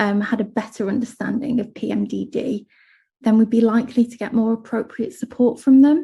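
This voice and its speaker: This woman has an English accent and a fairly high, somewhat breathy voice with a dark, mellow tone. She speaks at a moderate pace. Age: 30s. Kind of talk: panel presentation.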